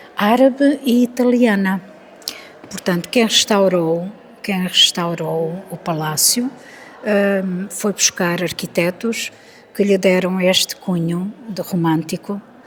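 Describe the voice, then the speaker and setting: A woman's medium-pitched voice at a very slow pace, ordinary pitch variation, over noticeable background noise. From Alentejo, Portugal. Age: 70s. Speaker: author. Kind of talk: interview.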